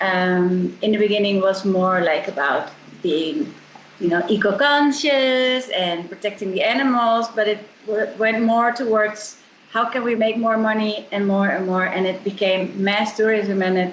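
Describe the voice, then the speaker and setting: A woman with a Dutch accent speaks fairly slowly at a medium pitch with ordinary pitch variation and very even loudness. Audible room echo and noticeable background noise surround her voice. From Netherlands, Amsterdam. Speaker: eco tour company co-founder. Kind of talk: interview conversation.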